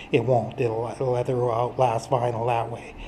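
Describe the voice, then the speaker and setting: Some light noise sits in the background. A man is the one speaking. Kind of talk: casual show-and-tell walkthrough. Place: garage. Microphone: phone near.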